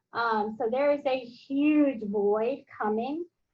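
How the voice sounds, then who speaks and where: A woman with a Southern US accent speaks at a very slow pace. Her voice is high-pitched with ordinary pitch variation. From US South. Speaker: professor. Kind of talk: online class meeting. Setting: video call. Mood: warm, encouraging. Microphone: video call.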